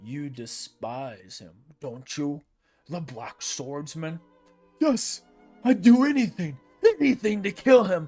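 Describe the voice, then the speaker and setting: A man's put-on character voice, fairly high-pitched with very wide pitch swings, at a fairly slow pace with long, frequent pauses, over faint music in the background. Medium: read story. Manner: cold, imperious.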